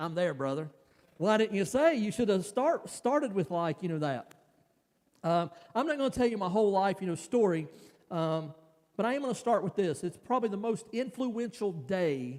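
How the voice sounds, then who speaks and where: Pitch leaps across a very wide range. The delivery moves at a moderate speed. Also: man, high pitch for a man. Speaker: pastor. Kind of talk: sermon. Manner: halting, many fillers.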